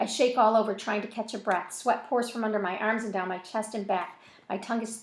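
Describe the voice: Just plain reading aloud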